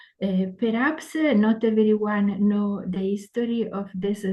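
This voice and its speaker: A woman with an Italian accent speaks at a very slow pace in a medium pitch, somewhat breathy, her intonation fairly even. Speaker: interpreter. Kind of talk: consecutive interpreting. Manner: halting, many fillers.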